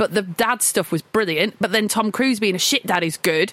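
Recorded dry and close with no echo, a woman with an unremarkable speaking voice talks at a moderate pace with ordinary pitch variation. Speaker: film podcast co-host. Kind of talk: casual film discussion.

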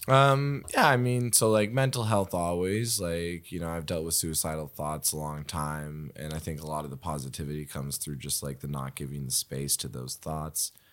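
In a Nova Scotian accent, a man with a very deep, low pitch talks at a moderate pace with hardly any pauses and lively intonation. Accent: Canadian (Nova Scotia). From Nova Scotia, Canada. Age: 20s. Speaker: improviser and comedian. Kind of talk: casual chat.

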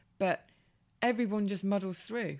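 The speaker has an English accent and talks at a fairly quick pace. The recording is very clean, with a silent background. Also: woman. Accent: English, similar to host. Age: 30s. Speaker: former model turned blogger. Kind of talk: casual chat. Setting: in person at guest's home.

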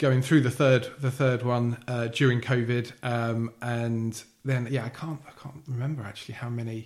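With monotone, flat intonation and medium pitch, a man talks at a moderate pace, his loudness swinging widely. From Essex, England (Billericay). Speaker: podcast guest with a heart condition. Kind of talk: casual interview. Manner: halting, many repetitions and fillers.

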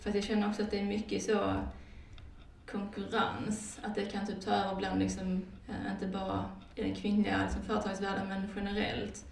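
Room echo is audible and background noise noticeable as a woman speaks at a moderate pace. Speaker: podcast host. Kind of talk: casual chat. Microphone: sounds muffled, sat behind the microphone.

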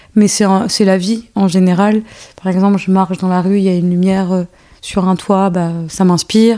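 A woman with a dark, mellow tone talks in a monotone, flat intonation. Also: medium pitch for a woman, moderate pace. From France, Paris banlieue. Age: 30s. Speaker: choreographer and dance teacher. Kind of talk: casual chat.

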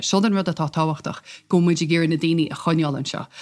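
In a very clean recording with a silent background, a woman with an Irish accent speaks at a fairly low pitch with fairly even intonation.

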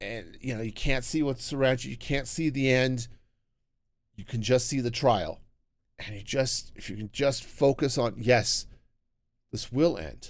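On a very clean recording with a silent background, a man of medium pitch speaks at a fairly slow pace with ordinary pitch variation, long, frequent pauses, and big swings in loudness. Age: 40s. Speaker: podcast host. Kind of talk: solo monologue podcast. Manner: halting.

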